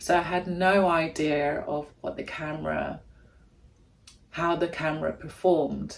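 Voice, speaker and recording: The speech moves at a fairly slow pace with long, frequent pauses and noticeable background noise. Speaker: vlogger. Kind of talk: casual vlog chat. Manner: animated.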